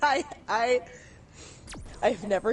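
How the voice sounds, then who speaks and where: A woman speaks at a fairly high pitch with ordinary pitch variation, and noticeable background noise sits behind her. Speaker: gaming streamer. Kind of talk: casual storytelling during game stream. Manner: animated.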